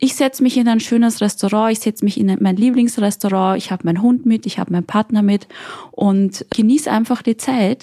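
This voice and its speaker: The voice is somewhat breathy, with fairly even intonation and a moderate pace, in a dry, close sound with no echo. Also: woman, fairly high pitch for a woman. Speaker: guest. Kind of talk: casual chat.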